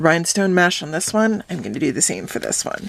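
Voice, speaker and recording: With vocal fry and a medium pitch, a woman talks at a fairly quick pace. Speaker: crafter. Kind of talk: tutorial.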